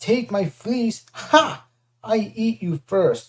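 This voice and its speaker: In a put-on character voice, a female-sounding speaker bellows at a very slow pace with a fairly high pitch. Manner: bellowing, threatening.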